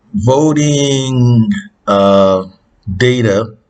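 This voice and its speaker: Ordinary pitch variation marks this man's speech. He talks in an American accent. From Utah. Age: 80s+. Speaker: YouTube commentator. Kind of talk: casual commentary. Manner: halting, many fillers.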